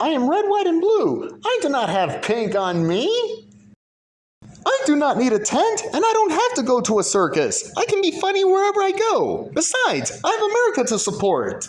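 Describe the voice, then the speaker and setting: This is a put-on character voice pitched extremely high. Its pace is moderate. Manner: comic, dramatic.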